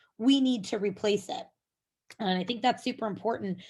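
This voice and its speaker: A woman speaks at a fairly quick pace in a somewhat breathy voice, her fairly high pitch showing ordinary variation. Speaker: software company presenter. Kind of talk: webinar presentation.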